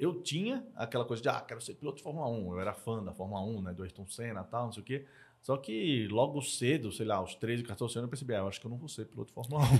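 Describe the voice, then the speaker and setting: At a very fast pace, a man speaks at a medium pitch in a very clean recording with a silent background. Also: ordinary pitch variation. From Brazil, Northeast (Maceió, Alagoas). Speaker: entrepreneur and angel investor. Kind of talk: casual interview chat.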